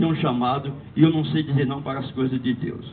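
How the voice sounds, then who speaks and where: Speaking at a fairly quick pace, a man is heard over noticeable background noise with audible room echo. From Northeast Brazil, Paraíba. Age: 70s. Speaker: church lay speaker. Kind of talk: talk to parish community.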